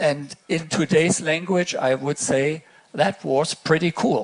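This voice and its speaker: Over noticeable background noise, a man with a German accent speaks at a fairly slow pace and fairly high pitch, with ordinary pitch variation. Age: 60s. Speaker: astronaut. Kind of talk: keynote speech. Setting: stage with audience. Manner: halting.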